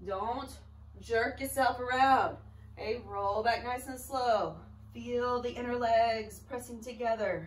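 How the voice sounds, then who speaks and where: A woman's fairly high voice, very slow and in a monotone, flat intonation, with audible room echo. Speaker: pilates instructor. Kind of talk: fitness class instruction.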